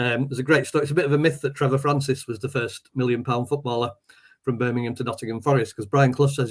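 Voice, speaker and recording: The voice is somewhat breathy, racing at a very fast pace with monotone, flat intonation. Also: man. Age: 60s. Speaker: poet and teacher, football fan. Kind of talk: casual chat.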